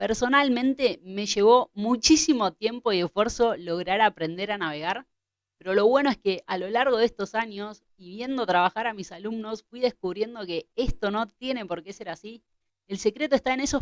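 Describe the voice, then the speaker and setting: A woman with an Argentine accent and a fairly high pitch, in a dry, close sound with no echo. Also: big swings in loudness. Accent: Argentine Spanish (Rioplatense). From Argentina. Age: 30s. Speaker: kitesurf instructor. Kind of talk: tutorial.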